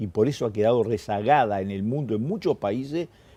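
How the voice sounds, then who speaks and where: A man speaks with a Uruguayan accent at a medium pitch. He talks at a fairly quick pace with a dark, mellow tone. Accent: Uruguayan Rioplatense Spanish. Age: 60s. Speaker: publicist and journalist, former political activist. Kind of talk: interview. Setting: newspaper newsroom.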